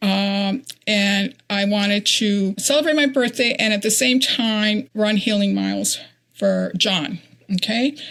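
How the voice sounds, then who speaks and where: A woman speaks fairly slowly at medium pitch with ordinary pitch variation. Her loudness stays very even. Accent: American. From Connecticut. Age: 60s. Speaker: ultrarunner. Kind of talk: interview. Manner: halting.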